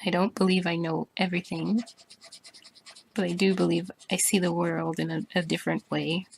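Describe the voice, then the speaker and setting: A woman at a moderate pace in a dry, close sound with no echo. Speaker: artist vlogger. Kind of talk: casual talk while drawing. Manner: monotone; halting.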